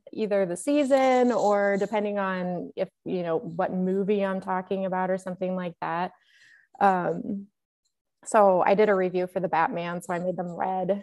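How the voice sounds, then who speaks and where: Her pitch is medium, and this woman moves at a moderate pace. The recording is very clean, with a silent background. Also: ordinary pitch variation. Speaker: movie collector YouTuber. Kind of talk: casual chat. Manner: loud. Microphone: echoey audio despite new microphone.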